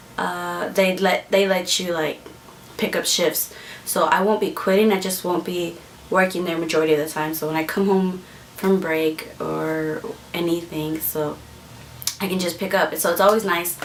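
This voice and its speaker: A woman with an American accent speaks at a moderate pace in a fairly low pitch and fairly even intonation, with noticeable background noise. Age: 20s. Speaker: vlogger. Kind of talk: casual vlog monologue. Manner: halting, many fillers.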